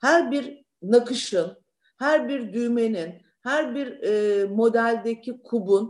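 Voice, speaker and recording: A woman's high voice with very wide pitch swings. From Turkey, Thrace (Lüleburgaz). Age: 60s. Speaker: businesswoman, uniform company founder. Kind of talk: interview. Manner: animated.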